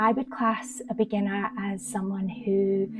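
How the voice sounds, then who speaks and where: Music plays in the background as the speaker talks with a Scottish accent. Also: woman. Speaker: meditation guide. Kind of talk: casual talk to camera.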